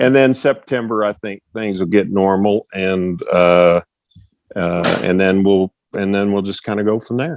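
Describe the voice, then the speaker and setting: A fairly low-pitched man with an American accent and a normal speaking voice, fairly slow and with ordinary pitch variation, in a dry, close sound with no echo. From Texas, Fort Worth. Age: 60s. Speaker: retired track and field coach. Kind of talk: casual interview. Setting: podcast.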